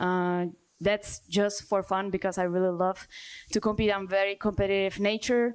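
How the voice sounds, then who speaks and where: Speaking with a Czech accent in a monotone, flat intonation, the voice keeps a moderate pace on a very clean recording with a silent background. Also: woman. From Czech Republic. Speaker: dancer and choreographer. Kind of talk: panel discussion.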